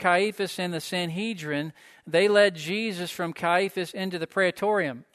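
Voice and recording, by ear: Here a speaker is reading aloud in a natural voice.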